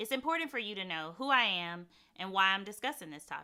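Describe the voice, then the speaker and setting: A woman talks fairly quickly with a Mississippi accent. Her tone is bright and sharp, at a medium pitch. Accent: Mississippi Southern. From Mississippi, US South. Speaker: conference speaker, former government security official. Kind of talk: conference talk. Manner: clear, explanatory.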